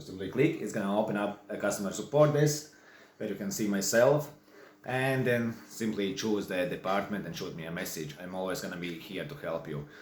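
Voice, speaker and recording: A man's fairly low voice with a Latvian accent, lively intonation and audible room echo. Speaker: online course creator and songwriter. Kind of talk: tutorial. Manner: casual, halting.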